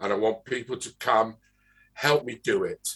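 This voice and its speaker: A man with an English accent at a fairly slow pace. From England, London. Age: old. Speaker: interviewer, arts organization director. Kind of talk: interview. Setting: video call.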